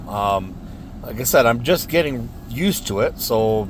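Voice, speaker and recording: Speaking at a fairly slow pace in an American accent, a man with a medium-pitched voice is heard amid audible room echo. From United States. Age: 50s. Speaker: car audio hobbyist reviewer. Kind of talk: casual product review. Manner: halting, many fillers.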